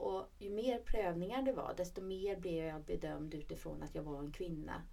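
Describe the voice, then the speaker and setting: Here a woman has an unremarkable speaking voice. She speaks at a moderate pace with a fairly low pitch. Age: 40s. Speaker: regional politician, podcast co-host. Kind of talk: casual chat. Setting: studio.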